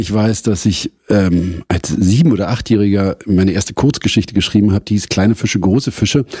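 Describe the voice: At a fairly quick pace, a man talks in a dark, mellow tone with a slightly husky edge.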